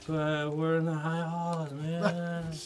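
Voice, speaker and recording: Over clear background noise, a man puts on a character voice. It sits at a fairly high pitch for a man. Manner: exaggerated high voice.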